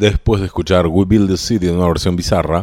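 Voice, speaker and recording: The recording is very clean with a silent background, and the man's voice is very deep and low. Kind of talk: radio dj patter introducing songs. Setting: radio studio. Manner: informal, conversational, fluent with brief song-history asides.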